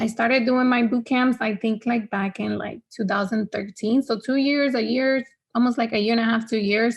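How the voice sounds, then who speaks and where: Speaking at a moderate pace with a Spanish accent, the woman has a fairly high pitch and fairly even intonation. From Honduras. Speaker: fitness trainer. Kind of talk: podcast interview. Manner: casual, filler-heavy.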